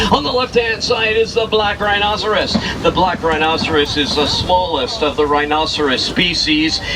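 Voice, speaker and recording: Hardly any pauses, with noticeable background noise. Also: man, high pitch for a man, lively intonation, moderate pace, very even loudness. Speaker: safari tour guide. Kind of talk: guided tour narration. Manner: whispering.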